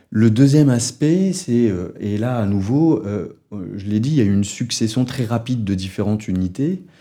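A man talks at a moderate pace in a medium pitch with lively intonation. His tone is dark and mellow. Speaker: sociologist researcher. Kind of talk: research interview. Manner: hesitant with fillers.

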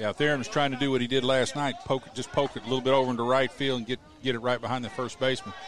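A man talks at a very fast pace with fairly even intonation. Noticeable background noise runs behind him. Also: medium pitch for a man. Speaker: color commentator. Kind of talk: live sports commentary, analytical color between pitches. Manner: relaxed, conversational, explaining strategy.

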